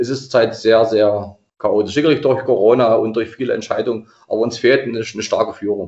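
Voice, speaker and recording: This man has a plain, everyday voice at a medium pitch. He talks at a fairly quick pace with fairly even intonation. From Saxony-Anhalt, Germany (Anhalt-Bitterfeld district). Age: 50s. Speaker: regional football association president. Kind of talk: casual interview.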